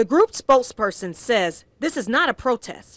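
A woman with an ordinary speaking voice and lively intonation at a moderate pace, dry and close with no echo, against a quiet background. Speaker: TV news reporter. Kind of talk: TV news package narration.

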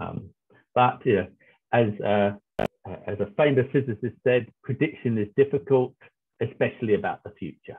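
A man's voice with ordinary pitch variation over a quiet background. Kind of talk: lecture. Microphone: video call.

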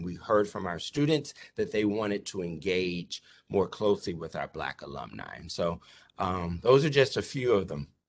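Against a quiet background, a man with a normal speaking voice talks at a moderate pace, fairly low in pitch with ordinary pitch variation. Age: 50s. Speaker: university diversity officer. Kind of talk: conference presentation. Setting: video call.

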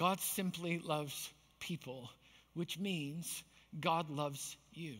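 A man's fairly high voice at a very slow pace, with fairly even intonation and a quiet background. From Canada, Manitoba. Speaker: pastor. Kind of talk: sermon. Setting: church. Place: stage.

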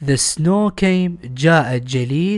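Against a quiet background, a man with an Iraqi accent speaks very slowly in a fairly high voice with ordinary pitch variation. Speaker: English teacher. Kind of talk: tutorial. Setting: recorded lesson video.

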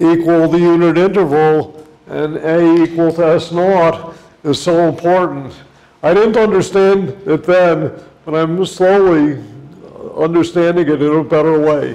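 Very even loudness, fairly even intonation and a fairly slow pace. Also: man, high pitch for a man. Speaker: visiting lecturer. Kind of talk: lecture. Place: classroom. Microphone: lapel.

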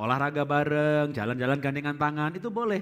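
A man speaks in an animated tone with a fairly high pitch and lively intonation against a quiet background. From Central Java, Indonesia (Solo); Central Java, Indonesia. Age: 50s. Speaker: pastor and marriage teacher; pastor, marriage teacher. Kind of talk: seminar teaching. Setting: stage with audience. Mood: cheerful, joking. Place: church. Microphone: headset.

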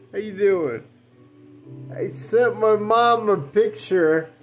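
A man speaks. Music plays faintly behind him. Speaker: home vlogger. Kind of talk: casual storytelling vlog chat. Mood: relaxed, amused, rambling. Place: home room. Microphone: phone near.

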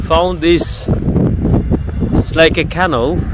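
A man's voice comes through with a dry sound, no echo, and noticeable background noise. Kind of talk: casual vlog chat. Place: open country. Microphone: phone near.

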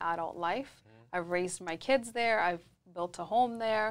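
A woman is talking. Her intonation shows ordinary pitch variation. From Scotland. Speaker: real estate agent; podcast guest. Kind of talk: casual interview. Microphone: lapel.

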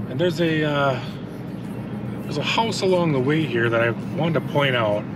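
A man's voice comes through dry with no echo, while loud background noise fills the recording. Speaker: lawn care vlogger. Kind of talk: casual vlog chat. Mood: relaxed, chatty. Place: car. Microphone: phone near.

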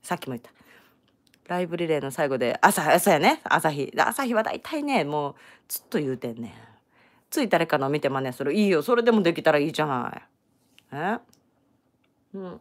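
On a very clean recording with a silent background, a woman with a Kansai accent and a very deep, low pitch speaks in an animated tone at a fairly quick pace, with very wide pitch swings, big swings in loudness and long, frequent pauses. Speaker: crochet tutorial creator. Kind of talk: live-streamed crochet tutorial. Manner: chatty, animated.

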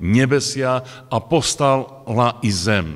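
A man's lively intonation over a quiet background. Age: 60s. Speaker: preacher. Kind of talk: sermon. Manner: halting. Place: hall. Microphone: podium.

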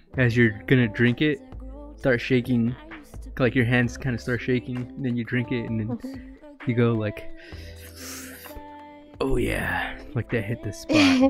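The speech moves at a moderate pace with long, frequent pauses. The sound is dry with no echo, and faint music plays in the background. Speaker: streamer. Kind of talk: casual gaming chat. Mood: joking, laughing. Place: home room. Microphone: studio mic.

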